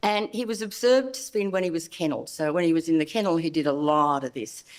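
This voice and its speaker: A woman talks at a very fast pace in a fairly low pitch. Her pitch swings very widely. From Australia. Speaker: veterinary behavioural specialist. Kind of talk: conference lecture.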